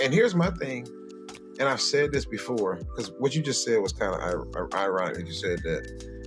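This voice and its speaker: Very deep, low-pitched male speech at a moderate pace with very wide pitch swings, music playing in the background. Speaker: radio host, comedian, podcast host and entrepreneur. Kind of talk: casual conversational podcast guest talk.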